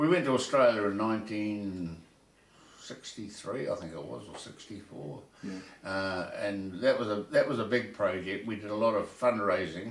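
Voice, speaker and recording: A man speaks at a moderate pace with a New Zealand accent, his voice fairly low with ordinary pitch variation. His loudness swings widely, and background noise is noticeable. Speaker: retired rugby player and club administrator. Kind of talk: interview answer.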